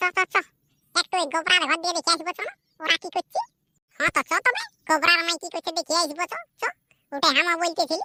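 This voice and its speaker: A woman does a cartoonish character voice that is squeaky and extremely high-pitched, racing at a very fast pace with fairly even intonation. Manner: rambling, repetitive, chatty.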